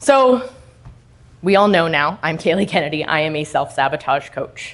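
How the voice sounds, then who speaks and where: Loud and with very wide pitch swings, a woman talks at a moderate pace in a fairly low pitch. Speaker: self-sabotage coach. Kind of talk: motivational talk. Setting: stage with audience. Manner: animated.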